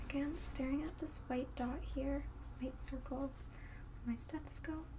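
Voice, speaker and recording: A soft-spoken woman talks at a moderate pace. Noticeable background noise runs behind her. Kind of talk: roleplay exam instructions. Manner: soft-spoken ASMR nurse voice. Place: home room.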